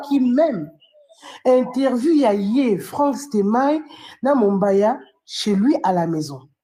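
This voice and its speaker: A woman's voice rises and falls in very wide pitch swings. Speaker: fan commentator. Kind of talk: live stream commentary. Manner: animated.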